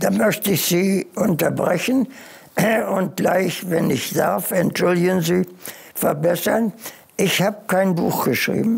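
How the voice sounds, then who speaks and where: A man speaks very slowly in a high voice, with ordinary pitch variation. Long pauses come often. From Germany. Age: 80s+. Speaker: war veteran. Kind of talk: interview answer. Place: home room.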